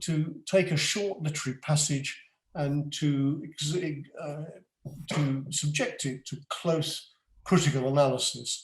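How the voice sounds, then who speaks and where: A man speaks at a fairly slow pace in a somewhat breathy voice with ordinary pitch variation. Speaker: retired headmaster and French teacher. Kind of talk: lecture. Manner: halting.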